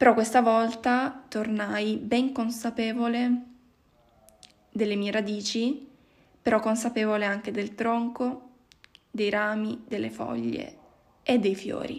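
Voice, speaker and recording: Very slowly and with long, frequent pauses, a woman talks in a fairly high pitch with monotone, flat intonation. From Albania. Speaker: psychology graduate. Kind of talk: personal testimony.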